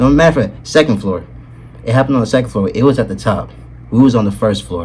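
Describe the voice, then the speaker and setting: A man talks at a very fast pace with a fairly low pitch, an animated tone and lively intonation. His loudness swings widely, and noticeable background noise is present. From Atlanta, US South. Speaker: YouTuber. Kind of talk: storytime.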